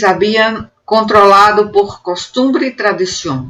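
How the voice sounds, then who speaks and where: A woman speaks at a very slow pace. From Northeast Brazil. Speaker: university professor. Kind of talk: academic conference presentation.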